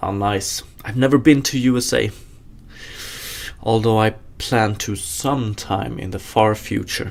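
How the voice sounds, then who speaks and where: With a Swedish accent, a man speaks fairly slowly at a fairly low pitch, keeping his intonation fairly even and pausing long and often. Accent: Swedish accent, noticeable. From Sweden. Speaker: game developer streamer. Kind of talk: live coding stream, casual chat with viewers. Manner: casual, hesitant with fillers.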